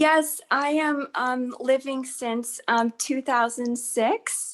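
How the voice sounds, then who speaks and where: Speaking at a very slow pace, a woman has a high-pitched voice with an American accent. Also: fairly even intonation. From Colorado, US. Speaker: massage therapist and wellness coach. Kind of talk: casual interview chat. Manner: halting, many fillers.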